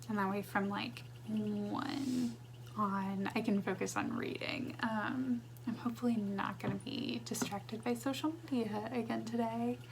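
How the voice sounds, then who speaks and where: The voice is quiet and fairly slow, with audible room echo. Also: woman. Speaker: book vlogger. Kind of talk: casual vlog. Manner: quiet in the mornings; low energy in the morning.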